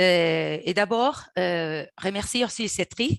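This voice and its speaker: A woman with a non-native accent and fairly low pitch is heard in a dry, close sound with no echo. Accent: foreign accent in French. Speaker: activist. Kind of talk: webinar presentation. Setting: video call. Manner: halting, hesitant.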